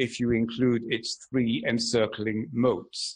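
Against a quiet background, the man's words come at a fairly slow pace. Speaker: keynote lecturer. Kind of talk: lecture. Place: hall. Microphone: podium.

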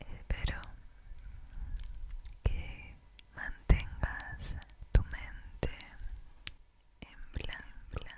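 A woman whispers softly at a very slow pace. She leaves long, frequent pauses. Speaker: ASMR creator. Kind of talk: soft-spoken ASMR relaxation talk. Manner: soft close-mic ASMR whisper. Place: home room. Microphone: studio mic.

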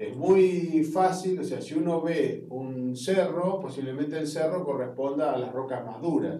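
The speaker talks at a fairly slow pace with ordinary pitch variation, and audible room echo surrounds the voice. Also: man. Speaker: university geology lecturer. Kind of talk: lecture.

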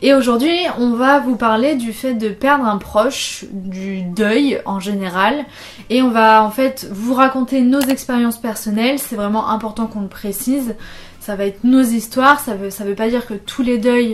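Using ordinary pitch variation, a woman delivers her words at a fairly slow pace. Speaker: video host. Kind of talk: casual vlog chat on a serious topic. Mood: calm, serious, gentle. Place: home room.

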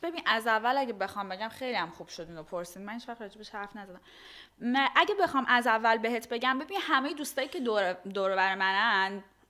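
A woman at a very fast pace, bright and sharp in tone, with lively intonation, big swings in loudness and a quiet background. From Iran. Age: 20s. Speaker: influencer and model; influencer. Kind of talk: casual interview. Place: home room. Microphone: studio mic.

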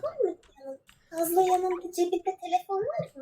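In a squeaky, put-on character voice pitched extremely high, the speaker goes at a moderate pace. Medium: game stream. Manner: confused, repetitive.

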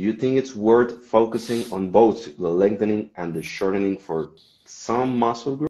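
A Spanish accent comes with a dark, mellow tone and ordinary pitch variation. The pace is moderate, with a quiet background. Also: man. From Mexico. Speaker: podcast host. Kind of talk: casual interview. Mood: friendly, relaxed. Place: home room. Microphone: video call.

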